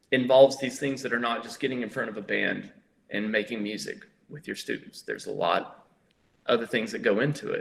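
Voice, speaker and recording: Talking at a fairly quick pace, a man has an American accent. His loudness swings widely. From US South, northeast Tennessee. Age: 30s. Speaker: musician. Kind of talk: Q&A talk to school students. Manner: casual, hesitant with fillers.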